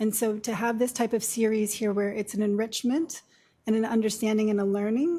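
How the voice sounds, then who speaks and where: Speaking at a fairly quick pace, a woman with a fairly high, somewhat breathy voice keeps her intonation fairly even in a very clean recording with a silent background. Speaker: nurse practitioner. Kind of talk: lecture. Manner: soft-spoken.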